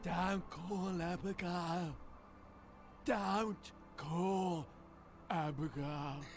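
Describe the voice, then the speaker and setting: In a put-on character voice at a middle pitch, the speaker goes very slowly with long, frequent pauses against clear background noise. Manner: urgent.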